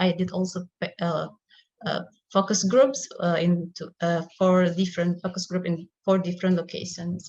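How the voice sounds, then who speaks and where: Somewhat breathy and fairly low in pitch, a woman with an Indonesian accent talks at a moderate pace in monotone, flat intonation. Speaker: academic researcher. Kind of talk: conference presentation. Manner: halting, many fillers.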